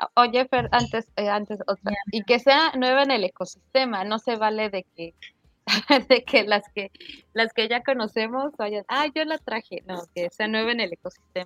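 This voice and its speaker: A plain, everyday voice from a woman, fairly high in pitch, at a fairly slow pace, with a dry, close sound and no echo. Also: ordinary pitch variation. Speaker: web3 developer. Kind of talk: casual interview. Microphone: unstable internet connection.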